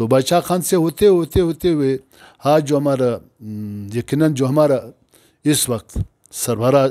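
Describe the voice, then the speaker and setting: Over a quiet background, a dark, mellow voice moves at a very slow pace with ordinary pitch variation. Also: man, fairly high pitch for a man. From Pakistan. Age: 60s. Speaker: provincial governor, politician; politician interviewee. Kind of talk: interview. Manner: halting. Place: home room.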